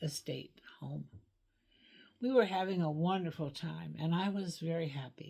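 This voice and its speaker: A woman's very deep, low voice, somewhat breathy and dark and mellow in tone, with ordinary pitch variation at a fairly slow pace. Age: 80s+. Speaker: licensed clinical social worker. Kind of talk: reading aloud a personal letter; casual personal introduction.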